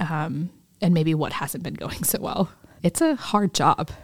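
A woman talks at a fairly slow pace with lively intonation. Her voice is fairly low and somewhat breathy. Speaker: global health strategist, guest interviewer. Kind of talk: casual interview conversation. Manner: halting, stumbling speech.

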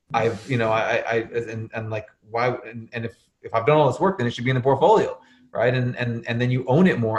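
A man with an American accent, somewhat breathy, medium in pitch with ordinary variation, at a very fast pace. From Arizona. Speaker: portfolio manager. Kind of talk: podcast interview.

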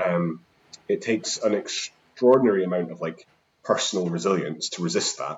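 A man with a Scottish accent talks at a moderate pace, his loudness swinging a lot. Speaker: housing activist. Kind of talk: casual interview chat.

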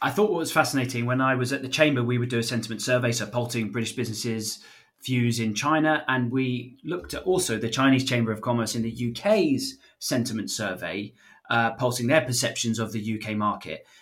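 Speaking in a normal speaking voice, a man moves at a fairly quick pace with medium pitch and ordinary pitch variation. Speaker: podcast co-host. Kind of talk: casual policy discussion.

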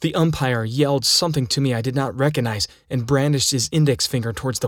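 The clip is a plain reading aloud.

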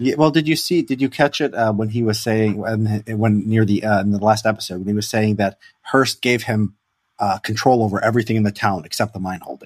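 Talking fairly quickly in a Chicago accent, a man with a fairly low pitch and ordinary pitch variation comes through dry and close with no echo. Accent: Chicago-area American. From Chicago south suburbs, US Midwest. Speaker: podcast host. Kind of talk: casual chat.

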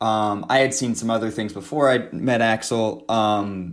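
Ordinary pitch variation marks a man's fairly low-pitched delivery in a normal speaking voice. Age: 30s. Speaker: author and anthropologist. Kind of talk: interview. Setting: remote call.

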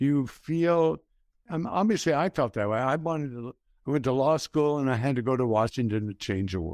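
In an American accent, a man talks at a moderate pace and medium pitch with very wide pitch swings. The sound is dry and close with no echo, a very clean recording with a silent background. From El Paso, Texas. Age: 70s. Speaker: podcast host, grandfather. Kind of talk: casual conversation.

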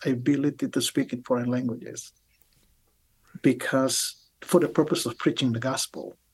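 A man with an Indonesian accent, fairly high in pitch, at a moderate pace. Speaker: biblical scholar, professor. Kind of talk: interview. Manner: halting.

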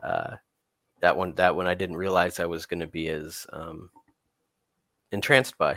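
A man's very deep, low voice with an American accent, bright, sharp in tone, with big swings in loudness and long, frequent pauses. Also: fairly even intonation, moderate pace. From US Midwest, Wichita, Kansas. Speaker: comic artist. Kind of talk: casual interview chat.

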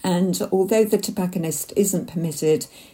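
Her tone is dark and mellow and somewhat breathy. The woman speaks at a moderate pace with ordinary pitch variation. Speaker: listener contributor. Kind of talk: recorded audio message.

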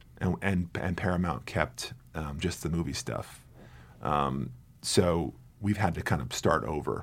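Talking at a fairly slow pace, a man with an American accent has a very deep, low pitch. His intonation is lively, with vocal fry. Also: very clean recording, silent background. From New Jersey. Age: 40s. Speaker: film marketing executive. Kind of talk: interview conversation. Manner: halting, many repeated words.

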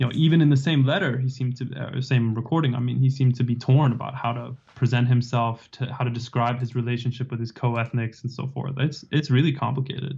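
Very fast and with hardly any pauses, a man talks at a medium pitch. His intonation is monotone and flat, and his voice is somewhat breathy. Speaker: political science professor and author. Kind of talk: interview about his book.

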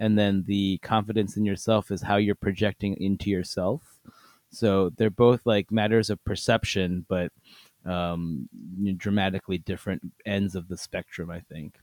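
With an American accent and an ordinary speaking voice, a man talks at a moderate pace with a fairly low pitch, fairly even intonation and a dry, close sound with no echo. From US, Korean American. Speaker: podcast host. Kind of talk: casual chat.

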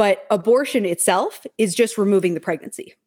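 With lively intonation, a woman speaks at medium pitch in an unremarkable speaking voice. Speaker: panelist. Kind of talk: panel discussion, friendly debate.

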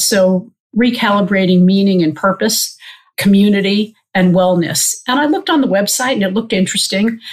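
A woman with an American accent, medium pitch, ordinary pitch variation, a fairly quick pace, very even loudness and a somewhat breathy sound. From US Northeast (Long Island, New York). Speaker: surgeon. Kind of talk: casual interview.

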